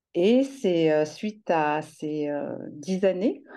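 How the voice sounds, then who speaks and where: With lively intonation and a dark, mellow tone, a woman speaks at a fairly low pitch against a quiet background. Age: 50s. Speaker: education counselor, former caregiver. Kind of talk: testimony. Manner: halting, repeats words.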